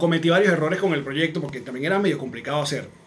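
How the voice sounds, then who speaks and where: A high-pitched man with a Venezuelan accent, with noticeable background noise and audible room echo. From Venezuela, Maracay. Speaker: comedian and podcaster. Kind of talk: casual chat.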